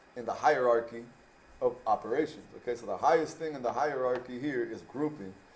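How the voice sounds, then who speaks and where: In a plain, everyday voice, a man speaks at a fairly quick pace with medium pitch and fairly even intonation. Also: big swings in loudness. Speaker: math teacher. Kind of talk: tutorial.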